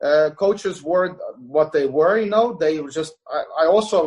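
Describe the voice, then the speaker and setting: A man speaks with an Estonian accent. His pitch shows ordinary variation. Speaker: jiu-jitsu coach. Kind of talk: podcast interview. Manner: halting, many fillers.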